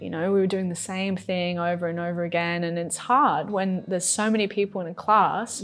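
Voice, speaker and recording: With an Australian accent, a woman talks at a moderate pace using fairly even intonation. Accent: Australian, acquired. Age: 30s. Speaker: yoga teacher. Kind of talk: casual chat.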